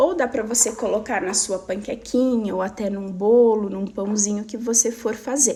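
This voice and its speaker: A woman's fairly high-pitched, normal speaking voice, at a fairly slow pace with ordinary pitch variation. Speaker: weight loss coach. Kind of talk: live stream talk. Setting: live stream.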